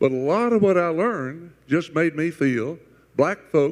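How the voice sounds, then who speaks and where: With a Southern US accent, a man at a fairly high pitch uses lively intonation at a moderate pace. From US South, Chattanooga. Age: 80s+. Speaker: panelist. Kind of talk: panel discussion.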